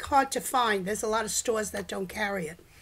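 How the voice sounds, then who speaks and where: A raised, projected voice with a bright, sharp tone in a New York accent. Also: woman. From US Northeast, New York (the Bronx). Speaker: home cook. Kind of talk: casual chat. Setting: live stream at home.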